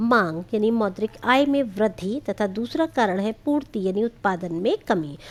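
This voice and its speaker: A woman's fairly high voice with lively intonation, at a very slow pace. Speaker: teacher. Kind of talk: lecture. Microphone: too quiet.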